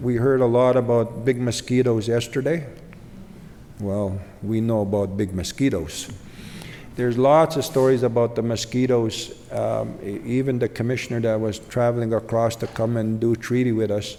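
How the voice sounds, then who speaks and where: A man speaks at a medium pitch and a moderate pace. Audible room echo is present. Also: fairly even intonation. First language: Ojibwe. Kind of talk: keynote speech. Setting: conference stage with audience. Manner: pausing.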